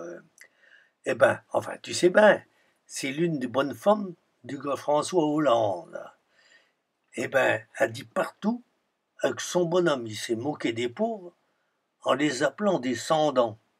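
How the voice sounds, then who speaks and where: With a Sarthe accent, a man speaks very slowly at a fairly high pitch, his voice making very wide pitch swings. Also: long, frequent pauses, big swings in loudness. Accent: rural Sarthe dialect. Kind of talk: humorous dialect storytelling.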